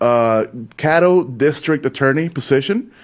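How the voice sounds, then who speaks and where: Speaking with a Spanish accent, a man keeps a fairly slow pace. His fairly high voice shows ordinary pitch variation. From Mexico. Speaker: community show host. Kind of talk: interview.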